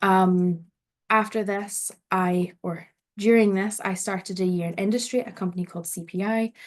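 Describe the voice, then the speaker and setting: In a Scottish accent, a woman speaks at a medium pitch and moderate pace with fairly even intonation, over a quiet background. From Scotland, North Ayrshire. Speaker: PhD researcher and event host. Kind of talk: online event presentation. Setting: online event, video call.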